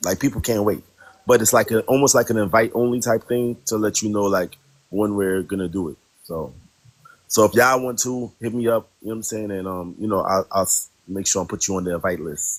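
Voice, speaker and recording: With a New York accent, a man talks at a fairly quick pace in a fairly low pitch with ordinary pitch variation. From New York, Brooklyn. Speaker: live stream panel guest. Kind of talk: casual chat. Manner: animated, repetitive fillers.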